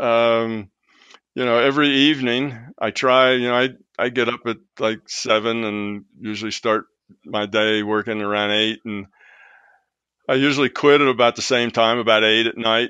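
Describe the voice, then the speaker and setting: Monotone, flat delivery in an American accent at a moderate pace. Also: man, medium pitch for a man. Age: 70s. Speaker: retired physicist and author. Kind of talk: interview conversation.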